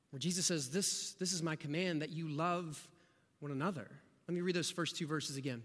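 At a fairly quick pace, a man with an American accent speaks at a fairly high pitch with ordinary pitch variation. Audible room echo is present. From rural southeast Ohio. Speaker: pastor. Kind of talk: sermon.

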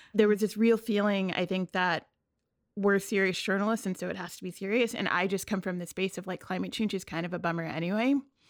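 In a very clean recording with a silent background, a woman speaks at a very fast pace and medium pitch, her intonation fairly even. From New York City (Queens). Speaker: climate reporter. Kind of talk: casual interview chat.

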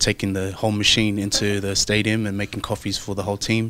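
On a very clean recording with a silent background, a man with an Australian accent speaks in a fairly low, flat monotone. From Brisbane, Australia. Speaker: rugby player. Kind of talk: interview. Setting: in Japan during the Rugby World Cup. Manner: halting, many fillers.

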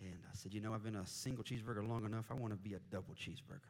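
Talking at a very fast pace, a man with an American accent has an animated tone and ordinary pitch variation. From US Midwest, Indianapolis. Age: 40s. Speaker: missionary preacher. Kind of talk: sermon. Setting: church.

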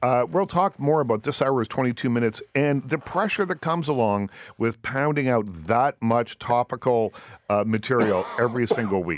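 A man with a Maritime Canadian accent speaks at a moderate pace and medium pitch with lively intonation. The very clean recording has a silent background and a dry, close sound with no echo. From Nova Scotia, Canada. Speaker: radio talk show host. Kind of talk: casual interview. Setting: studio. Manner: relaxed, many ums and ahs.

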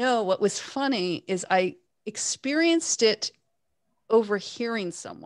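In an ordinary speaking voice with a Canadian accent, a woman talks at a fairly slow pace, fairly high in pitch, with lively intonation and big swings in loudness, on a very clean recording with a silent background and a dry, close sound with no echo. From Canada, Toronto. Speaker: author and podcast host. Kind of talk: interview.

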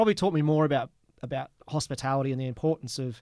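A man with an Australian accent speaks at a medium pitch with fairly even intonation, in a very clean recording against a silent background. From Queensland, Australia. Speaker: distiller and bartender. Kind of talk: casual chat. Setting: recorded live at a venue.

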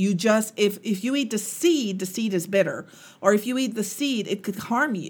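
A woman with a fairly high pitch talks at a moderate pace in a somewhat breathy voice, with ordinary pitch variation, on a very clean recording with a silent background. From Guyana. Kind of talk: faith-based motivational teaching.

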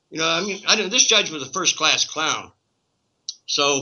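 A man with an unremarkable speaking voice, fairly high in pitch, at a moderate pace with ordinary pitch variation. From Canada. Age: 60s. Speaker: cannabis activist. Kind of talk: interview.

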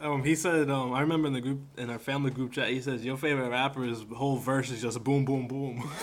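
Over noticeable background noise, a man talks at a very fast pace with hardly any pauses. His medium-pitched voice stays monotone and flat. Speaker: podcast co-host. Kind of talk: casual banter.

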